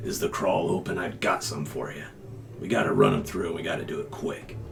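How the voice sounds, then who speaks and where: Against clear background noise, a man puts on a character voice at a fairly quick pace. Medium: actual play. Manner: gruff, dismissive.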